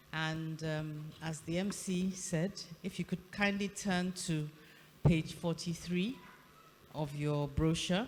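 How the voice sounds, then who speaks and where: Somewhat breathy, a woman speaks in a fairly low pitch. Her pace is very slow and her intonation fairly even. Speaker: governing council member. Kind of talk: formal address; ceremonial affirmation. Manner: soft-spoken; formal. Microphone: too quiet for online audience.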